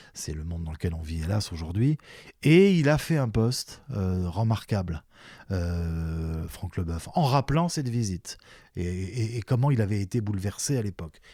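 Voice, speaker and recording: A man talks at a fairly slow pace in a fairly low pitch, his tone dark and mellow. His intonation is lively. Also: very clean recording, silent background. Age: 60s. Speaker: retired sports journalist and commentator. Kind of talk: interview conversation. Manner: halting, with many repetitions and fillers.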